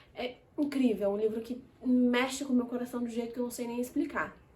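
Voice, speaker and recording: Her voice high in pitch, a woman talks at a moderate pace. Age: 20s. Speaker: book reviewer. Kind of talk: casual chat. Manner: animated.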